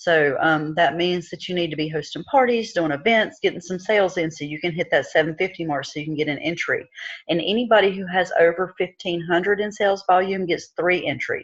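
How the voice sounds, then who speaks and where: Speaking at a fairly quick pace with hardly any pauses, a woman uses a fairly low pitch and ordinary pitch variation. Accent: Southern US. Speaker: direct sales team leader. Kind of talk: online team meeting.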